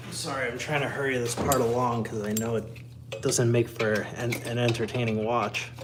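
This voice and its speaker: Amid noticeable background noise and audible room echo, a man speaks with monotone, flat intonation. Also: medium pitch for a man, moderate pace, hardly any pauses. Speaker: car mechanic livestreamer. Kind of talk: live-streamed tutorial. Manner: casual, self-deprecating muttering.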